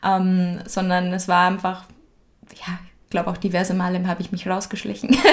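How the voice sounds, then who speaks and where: In a Bavarian accent, a woman speaks in a somewhat breathy, flat monotone at medium pitch. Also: moderate pace. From Upper Bavaria, Germany. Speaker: podcast guest. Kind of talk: casual interview.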